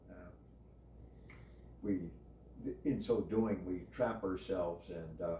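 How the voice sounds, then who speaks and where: Very slow speech with long, frequent pauses carries a dark, mellow tone. The voice is somewhat breathy, with ordinary pitch variation. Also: man, very deep, low pitch for a man. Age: 70s. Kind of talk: casual chat. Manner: halting; formal.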